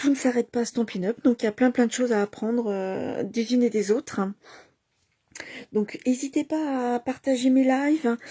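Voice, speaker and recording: Soft-spoken and high-pitched, a woman talks with a dark, mellow tone and long, frequent pauses. The sound is dry and close with no echo. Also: fairly even intonation, moderate pace. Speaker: craft demonstrator. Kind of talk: craft tutorial livestream. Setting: home at night. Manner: halting, many fillers.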